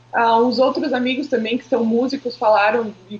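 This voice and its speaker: A woman's fairly high-pitched voice at a fairly slow pace, with fairly even intonation and noticeable background noise. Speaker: marketing professional. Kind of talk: casual interview chat.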